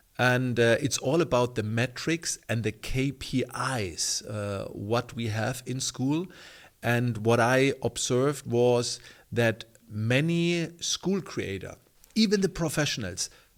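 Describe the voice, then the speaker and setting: A man with a German accent talks at a very slow pace and medium pitch, his intonation lively, in a very clean recording with a silent background. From Germany. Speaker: online community coach. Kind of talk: tutorial. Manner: halting.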